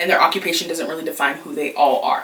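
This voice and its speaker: A woman with an animated tone over noticeable background noise. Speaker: YouTuber, plus-size lifestyle creator. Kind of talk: storytime, casual monologue. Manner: loud.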